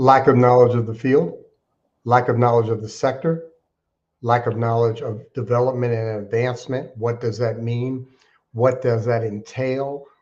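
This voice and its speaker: A man's voice comes across somewhat breathy. His intonation is monotone and flat. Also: medium pitch for a man, moderate pace. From Alaska. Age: 60s. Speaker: nonprofit fundraising consultant. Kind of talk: interview.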